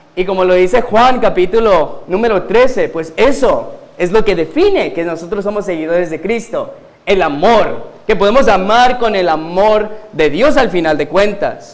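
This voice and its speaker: A man with a high voice speaks at a fairly slow pace with ordinary pitch variation, with audible room echo and noticeable background noise. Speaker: guest preacher, pastor. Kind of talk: sermon. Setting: church pulpit.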